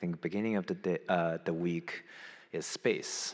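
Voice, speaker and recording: A man talks with ordinary pitch variation. The recording is very clean, with a silent background. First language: not English. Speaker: conference moderator introducing a speaker. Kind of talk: opening remarks at a conference. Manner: halting, many fillers.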